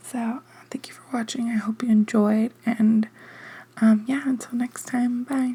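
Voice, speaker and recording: Soft-spoken and fairly high in pitch, a woman talks at a fairly slow pace in a monotone, flat intonation over noticeable background noise. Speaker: ASMR creator. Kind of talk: casual chat. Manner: hesitant, filler-heavy.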